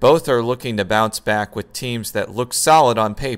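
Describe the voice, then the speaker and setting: A man talks at a fairly slow pace in an unremarkable speaking voice with ordinary pitch variation. The recording is very clean, with a silent background. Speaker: fantasy football league commissioner-style predictor. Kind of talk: scripted narration.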